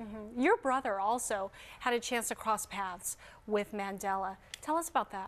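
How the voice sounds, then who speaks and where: A woman's ordinary speaking voice, fairly high in pitch, with ordinary pitch variation at a moderate pace. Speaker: TV news anchor. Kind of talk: TV news interview questions.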